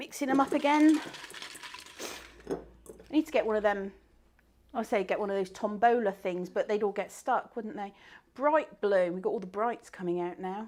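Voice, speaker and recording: A woman's fairly high voice with a Bristolian accent, lively intonation, a moderate pace and long, frequent pauses. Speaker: craft teacher and live event host. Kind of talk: live stream bingo game. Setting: live online stream. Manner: animated.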